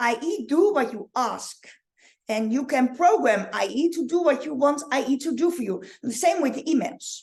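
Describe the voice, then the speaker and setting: With a Dutch accent, a woman speaks at a moderate pace in a high voice with lively intonation over a quiet background. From Netherlands. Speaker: online marketing coach. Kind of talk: live training. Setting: livestream. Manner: halting. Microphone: webcam.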